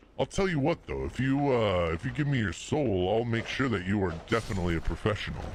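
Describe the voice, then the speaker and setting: Putting on a character voice, a man with a medium pitch rattles off words at a very fast pace with hardly any pauses, over clear background noise. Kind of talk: put-on devilish voice. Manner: sly, tempting.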